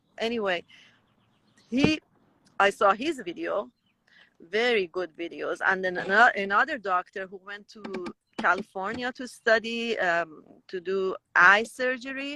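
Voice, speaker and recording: The speaker has a Persian accent and lively intonation. Loudness swings widely, and long pauses come often. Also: woman, fairly high pitch for a woman. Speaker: raw vegan guest sharing testimony. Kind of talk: testimony. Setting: Instagram live. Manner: halting, self-correcting.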